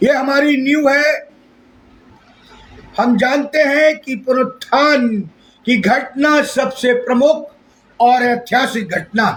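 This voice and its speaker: A man speaks at a very slow pace. His pitch is extremely high, with fairly even intonation. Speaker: pastor. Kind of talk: sermon.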